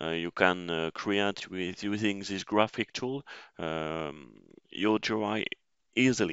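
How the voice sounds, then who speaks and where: A man with a non-native accent at a very slow pace, with ordinary pitch variation. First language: French. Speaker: system engineer, tech tutor. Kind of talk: tutorial. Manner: halting, many fillers.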